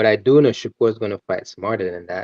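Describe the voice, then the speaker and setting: A man with a Caribbean accent speaks at a moderate pace. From Antigua. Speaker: boxing and MMA commentator. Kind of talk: casual chat.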